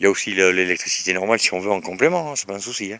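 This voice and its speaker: A man's fairly low voice at a very fast pace, with noticeable background noise. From Bordeaux, France. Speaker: vlogger. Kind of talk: casual property walkthrough video. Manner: hesitant, many fillers.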